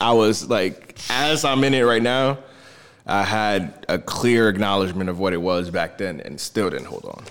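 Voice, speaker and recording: An American accent marks this man's unremarkable speaking voice, pitched fairly low. He speaks at a moderate pace with ordinary pitch variation. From New Jersey. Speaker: crypto investor. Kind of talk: casual chat.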